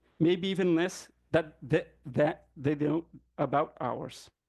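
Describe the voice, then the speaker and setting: At a fairly slow pace, a man with a Brazilian accent speaks at a high pitch with ordinary pitch variation over a quiet background. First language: Brazilian Portuguese. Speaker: professor. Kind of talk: academic talk. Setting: conference panel with audience.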